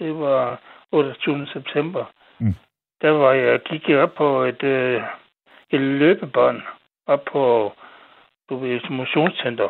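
A man talks very slowly, with long pauses coming frequently. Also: ordinary pitch variation. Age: 70s. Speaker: caller to late-night radio show. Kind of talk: casual chat. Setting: phone call. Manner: halting.

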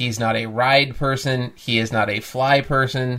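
This is a normal speaking voice with an American accent. The intonation is fairly even. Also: man. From US Midwest. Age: 30s. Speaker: podcast co-host, host's husband. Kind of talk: casual chat.

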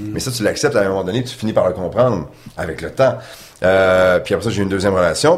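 Noticeable background noise accompanies a man whose lively intonation goes with a fairly quick pace. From Quebec City, Quebec. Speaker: sports broadcaster. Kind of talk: casual interview.

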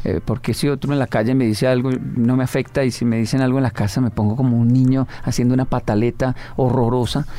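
A man's very fast, monotone, flat delivery at a medium pitch, dark and mellow in tone, with very even loudness. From Colombia, Bogotá (Ciudad Bolívar). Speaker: motivational speaker. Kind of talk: interview.

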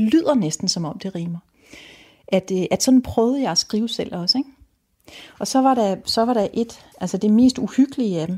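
Her voice is fairly high, somewhat breathy and dark and mellow in tone, at a moderate pace. The sound is dry and close, with no echo, and the speaker is a woman. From Denmark, Rødby on Lolland. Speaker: novelist. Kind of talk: interview about books and reading. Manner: halting, with frequent fillers and restarts.

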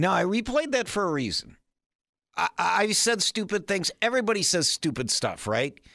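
A man with an Upper Midwest accent speaks in a raised, projected voice that is high and bright and sharp. His pitch swings very widely while his loudness stays very even, in a dry, close sound with no echo. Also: moderate pace, very clean recording, silent background. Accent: Upper Midwest American. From Wisconsin, small town. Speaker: radio talk show host. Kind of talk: talk radio monologue.

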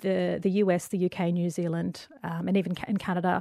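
A woman speaks at a fairly quick pace with an Australian accent and a medium pitch, in a very clean recording with a silent background and a dry, close sound with no echo. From Western Sydney, Australia. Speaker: journalist and diversity advocate. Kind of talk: casual interview conversation.

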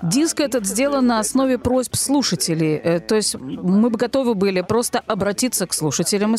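A woman speaks at a moderate pace with lively intonation. She has a normal speaking voice, on a very clean recording with a silent background. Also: dry, close sound with no echo. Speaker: radio host. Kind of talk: scripted radio magazine presentation.

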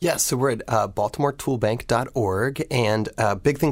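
In an American accent, a man with an unremarkable speaking voice talks at a moderate pace with ordinary pitch variation, recorded very cleanly against a silent background. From rural Ohio. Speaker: nonprofit executive director. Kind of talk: radio interview.

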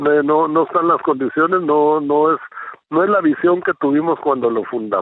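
In a plain, everyday voice, a fairly high-pitched man talks at a moderate pace, with ordinary pitch variation and very even loudness. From Guatemala. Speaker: presidential candidate. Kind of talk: radio interview.

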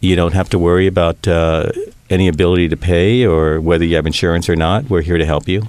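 A man's very deep, low-pitched voice. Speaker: healthcare CEO and magazine publisher. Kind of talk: interview.

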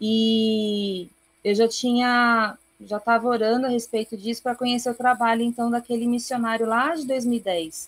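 On a very clean recording with a silent background, a woman with an ordinary speaking voice talks at a moderate pace and fairly high pitch with fairly even intonation. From Brazil. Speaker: missionary. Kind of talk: interview.

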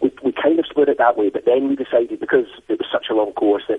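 Against noticeable background noise, a man with a Scottish accent speaks at a very fast pace. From Scotland. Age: 50s. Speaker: blind adventure athlete. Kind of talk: interview.

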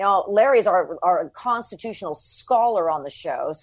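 Against a quiet background, a woman with an unremarkable speaking voice talks at a fairly quick pace with lively intonation. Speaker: radio talk show host and trial attorney. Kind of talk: political talk show discussion.

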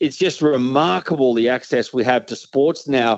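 A man with an Australian accent speaks at a moderate pace and medium pitch. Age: 50s. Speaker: sports commentator. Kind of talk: interview.

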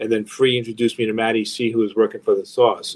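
A fairly quick pace drives the speech. It carries a New York accent. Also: man. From New York, Long Island. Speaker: record label executive. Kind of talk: interview.

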